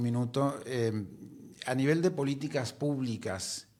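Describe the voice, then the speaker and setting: A man speaks at medium pitch and a fairly slow pace. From Uruguay. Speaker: TV interviewer. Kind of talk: interview.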